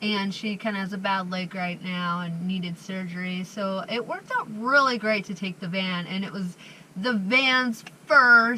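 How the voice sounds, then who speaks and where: There is noticeable background noise as a woman talks at a fairly slow pace. Her pitch is medium, with ordinary variation. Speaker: van life vlogger. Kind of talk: casual vlog chat. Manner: chatty, filler-heavy.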